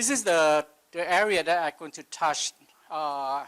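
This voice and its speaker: With a non-native accent, a man talks at a fairly slow pace and a fairly high pitch, recorded with a dry, close sound and no echo. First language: not English. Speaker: livestock nutrition expert. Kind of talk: conference presentation.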